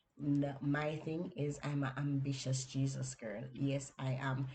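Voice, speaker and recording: Speaking with a Jamaican accent, a woman has a very deep, low pitch, a somewhat breathy voice and monotone, flat intonation. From Jamaica, Kingston inner city. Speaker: podcast host and book coach. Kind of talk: personal story on a podcast. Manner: conversational, with fillers.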